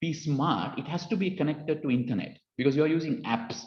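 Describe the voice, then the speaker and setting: A man with a Sri Lankan accent talks at a fairly quick pace and fairly high pitch, with audible room echo. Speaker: cybersecurity speaker. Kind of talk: lecture. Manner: halting, many fillers.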